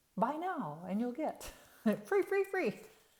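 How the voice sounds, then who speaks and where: A put-on character voice, high in pitch, swings very widely up and down. The pace is fairly slow. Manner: salesy, hyped.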